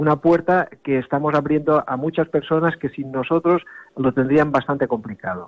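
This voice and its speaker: Here a man has a normal speaking voice with a fairly high pitch. He talks at a moderate pace with ordinary pitch variation. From Ibiza. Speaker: sailing club representative. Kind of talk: interview.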